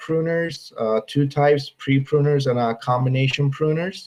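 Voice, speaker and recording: Fairly high in pitch, a man talks at a moderate pace. His intonation stays fairly even. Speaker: university viticulture researcher. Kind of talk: webinar presentation. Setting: online webinar. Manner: halting, many filler sounds.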